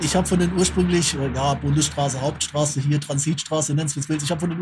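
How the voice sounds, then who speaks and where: Noticeable background noise sits under a man's voice. He talks at a fairly quick pace with fairly even intonation. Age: 40s. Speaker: podcast co-host. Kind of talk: casual chat.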